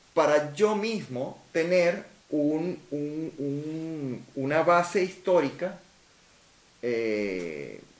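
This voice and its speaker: Speaking in a Venezuelan accent, a man has a fairly high pitch and lively intonation. His pace is very slow. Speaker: science fiction novelist. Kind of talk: interview answer.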